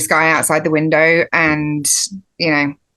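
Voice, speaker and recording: A woman talks with a strong Australian accent at a moderate pace. Her intonation is monotone and flat, over a quiet background. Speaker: podcast guest. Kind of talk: casual chat.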